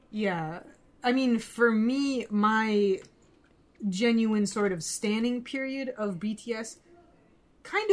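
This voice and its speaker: A woman speaks with ordinary pitch variation. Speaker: podcast co-host. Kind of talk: casual chat. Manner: animated.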